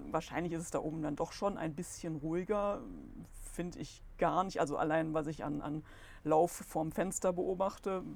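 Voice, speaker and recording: An unremarkable speaking voice from a woman, fairly low in pitch with ordinary pitch variation, at a moderate pace in a very clean recording with a silent background. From Solingen-Ohligs, Rhineland, Germany. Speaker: goldsmith and shop owner, local business association member. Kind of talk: casual interview.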